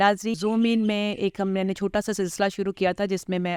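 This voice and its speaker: A woman's medium-pitched voice comes through dry and close with no echo, on a very clean recording with a silent background. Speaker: interviewer / show host. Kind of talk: interview questions, casual talk.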